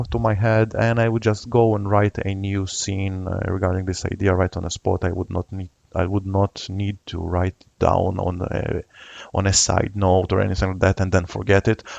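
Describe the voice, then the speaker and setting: With a non-native accent, a man talks at a fairly low pitch and a moderate pace in a dry, close recording with no echo. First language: not English. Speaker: software tutorial youtuber. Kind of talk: screen-recorded tutorial. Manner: hesitant, many filler uhs.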